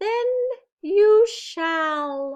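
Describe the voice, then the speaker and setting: An extremely high-pitched, squeaky put-on character voice from a woman. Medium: read story.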